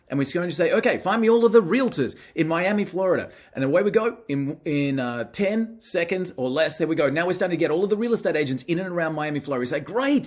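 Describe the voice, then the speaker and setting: On a very clean recording with a silent background, a man with an Australian accent talks very fast at a high pitch with lively intonation. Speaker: marketing software presenter. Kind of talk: product demo. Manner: casual, some filler hesitations.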